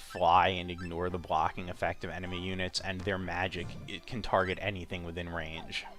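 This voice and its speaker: Music plays in the background as a man speaks with a very deep, low pitch. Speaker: let's play commentator. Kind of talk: game commentary.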